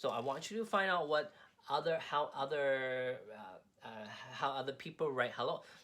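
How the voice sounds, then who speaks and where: A man with a Cantonese accent speaks at a fairly high pitch. His tone is bright and sharp, with lively intonation. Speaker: craft instructor. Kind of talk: tutorial. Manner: halting, with repetitions and fillers.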